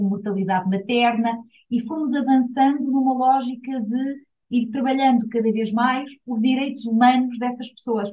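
Her high voice holds a fairly flat intonation as the woman speaks at a medium tempo. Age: 50s. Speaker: UN agency director. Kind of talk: interview. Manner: hesitant fillers.

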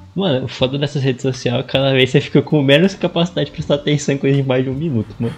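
Over noticeable background noise, a man talks very fast with hardly any pauses. His pitch is fairly high and his intonation fairly even. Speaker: podcast co-host. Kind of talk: casual chat.

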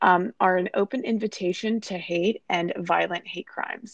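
In an unremarkable speaking voice, a woman with an American accent speaks at a fairly slow pace and medium pitch with ordinary pitch variation, in a dry, close sound with no echo and a quiet background. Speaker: sales and marketing team member. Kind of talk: casual podcast chat.

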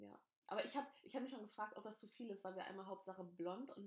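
A woman talks at a very fast pace with ordinary pitch variation. Her tone is animated. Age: 20s. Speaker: podcast host. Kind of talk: casual chat. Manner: animated, frequent laughing.

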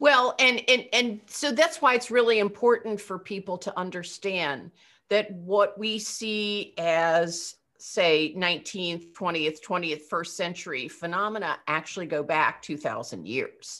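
In a normal speaking voice, a woman with an American accent talks at a fairly slow pace, her medium pitch carried by lively intonation. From Eastern Pennsylvania. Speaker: rabbi. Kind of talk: casual chat.

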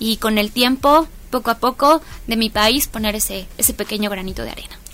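An unremarkable speaking voice from a woman, fairly high in pitch with ordinary pitch variation. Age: young. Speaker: community activist. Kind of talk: interview.

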